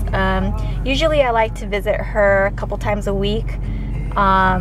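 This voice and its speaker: A woman talks at a moderate pace with faint music in the background. The sound is dry, with no echo. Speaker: parent vlogger. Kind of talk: casual vlog chat. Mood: relaxed, cheerful. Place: car. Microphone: phone near.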